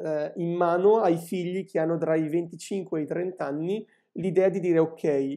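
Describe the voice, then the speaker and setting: The voice moves at a fairly slow pace in a dark, mellow tone over a quiet background. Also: man. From northern Italy, Lumezzane (Brescia); Italy. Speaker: industrial designer and teacher; teacher. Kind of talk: casual chat. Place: home room. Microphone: video call.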